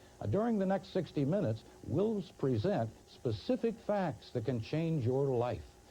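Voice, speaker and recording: A man's dark, mellow, somewhat breathy voice moves at a fairly slow pace with very wide pitch swings. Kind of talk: infomercial narration, promotional announcer read.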